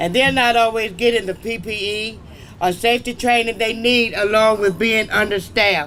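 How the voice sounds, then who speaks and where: A raised, projected voice at a moderate pace, with ordinary pitch variation and noticeable background noise. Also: man. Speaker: event moderator. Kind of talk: event moderation.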